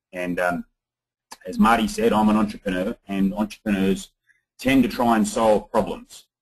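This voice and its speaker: A man with an Australian accent, fairly low in pitch, at a moderate pace with fairly even intonation. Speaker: social entrepreneur. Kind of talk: webinar presentation.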